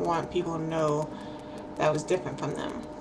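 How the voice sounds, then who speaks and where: Over noticeable background noise, a woman mumbles. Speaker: hard of hearing person. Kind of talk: casual talk to camera. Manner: mumbling, hesitant.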